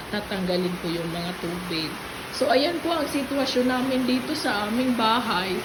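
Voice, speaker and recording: Rather unhurried female speech amid noticeable background noise and audible room echo. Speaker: vlogger. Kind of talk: casual vlog. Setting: at home.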